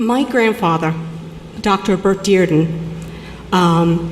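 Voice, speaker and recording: A woman with an American accent at a medium pitch, fairly even intonation, audible room echo and noticeable background noise. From New York (Long Island). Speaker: public commenter, accountant. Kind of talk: public comment at city council hearing. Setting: city council meeting. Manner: halting.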